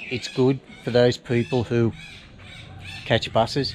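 Light background noise behind a man talking. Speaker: travel vlogger. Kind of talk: casual vlog chat. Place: street. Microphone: phone near.

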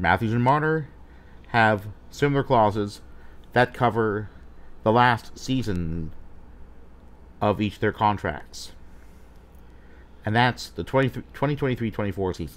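A man speaks at a fairly low pitch with lively intonation. His pace is very slow, broken by long, frequent pauses. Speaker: sports fan vlogger. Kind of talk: commentary. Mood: critical, opinionated. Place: home room.

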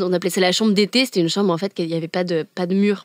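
Recorded dry and close with no echo, a woman speaks at medium pitch. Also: very clean recording, silent background. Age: 20s. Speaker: climate activist. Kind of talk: interview. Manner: animated.

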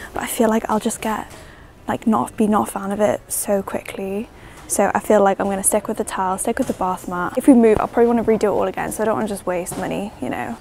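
A woman at a very fast pace, with ordinary pitch variation and light background noise. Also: dry sound with no echo. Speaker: vlogger. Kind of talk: casual vlog chat. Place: shop. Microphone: lapel.

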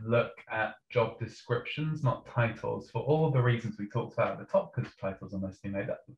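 A somewhat breathy man's voice at a medium pitch. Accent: northern English. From northern England. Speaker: PR creative strategist. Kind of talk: panel discussion.

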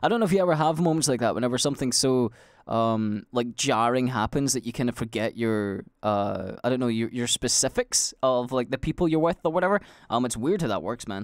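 Speaking with a Scottish accent at a fairly quick pace, a man uses lively intonation at a medium pitch, recorded very cleanly against a silent background with a dry, close sound and no echo. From Scotland. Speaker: livestreamer and podcast host. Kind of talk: casual monologue. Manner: rambling with many fillers.

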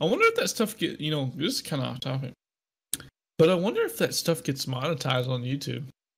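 Talking at a very fast pace, a man uses a fairly high, somewhat breathy voice with ordinary pitch variation. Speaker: podcast co-host. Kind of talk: casual chat.

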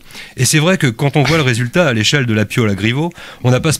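The voice reads in a natural way.

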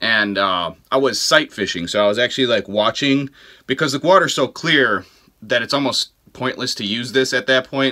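A man speaks at a medium pitch with a bright, sharp tone.

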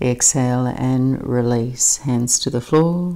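Soft-spoken and calm, with a gentle tone, a woman talks in a very deep, low, dark and mellow voice with fairly even intonation over a quiet background. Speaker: yoga instructor. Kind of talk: guided yoga class with calm, soothing cueing. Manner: calm, slow, soft-spoken, gentle; brisk, clipped cues during flow sequences.

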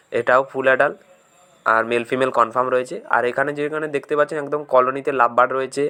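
A man's bright, sharp voice holds a fairly even intonation. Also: medium pitch for a man. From West Bengal, India (Paschim Medinipur). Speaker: bird breeder and seller, video blogger. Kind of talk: informal sales video walkthrough. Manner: casual, conversational.

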